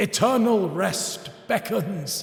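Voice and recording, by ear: This put-on character voice goes at a slow pace, with lively intonation and vocal fry. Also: man.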